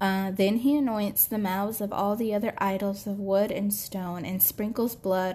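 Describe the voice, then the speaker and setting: A woman's somewhat breathy voice, dark and mellow in tone, medium in pitch, at a moderate pace with fairly even intonation. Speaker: podcast host. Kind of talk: solo history talk read from notes. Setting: home recording. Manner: casual, hesitant with many fillers and laughs.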